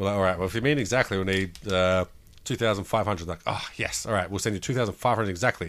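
Very fast speech from a man, fairly low-pitched, its pitch variation ordinary. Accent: Australian. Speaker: podcast co-host. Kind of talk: casual chat. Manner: casual, swearing.

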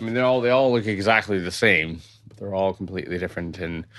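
Over a quiet background, a man with a Canadian accent talks very fast in a very deep, low voice with ordinary pitch variation. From Canada, Toronto. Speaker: brewery co-founder and brewing teacher. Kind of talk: tutorial.

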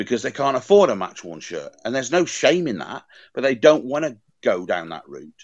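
Against a quiet background, a man with vocal fry talks at a fairly quick pace and medium pitch, with very wide pitch swings and big swings in loudness. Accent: Welsh. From Wales. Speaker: football shirt collector and curator. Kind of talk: interview conversation.

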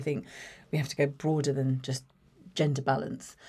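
Speaking at a very fast pace with a southern English accent, a woman has a very deep, low pitch and a dark, mellow tone, captured in a very clean recording with a silent background. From England, Watford. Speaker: marketing executive. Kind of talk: interview.

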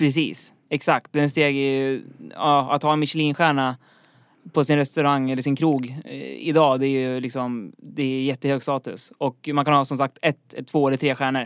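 On a very clean recording with a silent background, a man with a fairly high pitch speaks at a moderate pace in a monotone, flat intonation. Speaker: quiz podcast host. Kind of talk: casual chat. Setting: studio.

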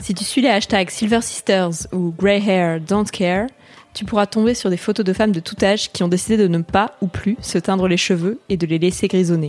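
A woman's unremarkable speaking voice at medium pitch, moderate pace and fairly even intonation. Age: 20s. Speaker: magazine writer reading her own article. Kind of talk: reading aloud.

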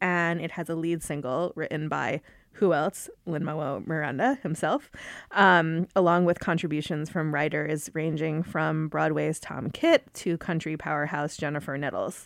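On a very clean recording with a silent background, a woman speaks in a very deep, low pitch. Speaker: podcast host, music editor. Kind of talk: interview. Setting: studio.

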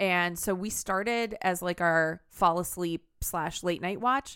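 A woman speaks in a normal speaking voice at a fairly slow pace. Her pitch is medium with ordinary variation, on a very clean recording with a silent background. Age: 30s. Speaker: podcast co-host. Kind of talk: casual chat.

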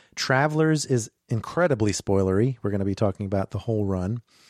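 At a fairly quick pace, a man with a dark, mellow tone speaks over a quiet background, recorded dry and close with no echo. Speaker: podcast host. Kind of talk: casual chat.

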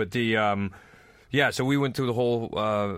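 A man's fairly quick, fairly even-toned speech with a Northwest US accent, on a very clean recording with a silent background. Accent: American (Northwest US). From North Idaho, US. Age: middle-aged. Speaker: comedian. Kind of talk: casual chat.

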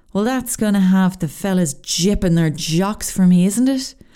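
A woman's medium-pitched voice in an Irish accent, dark and mellow in tone with lively intonation. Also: very even loudness. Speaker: podcast host. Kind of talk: casual solo monologue.

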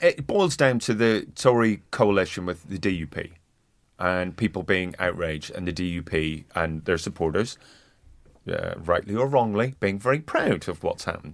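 Speaking with a Northern Irish accent, a man uses lively intonation, a fairly low pitch and a moderate pace. The recording is very clean, with a silent background. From Northern Ireland. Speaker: comedian. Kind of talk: casual chat.

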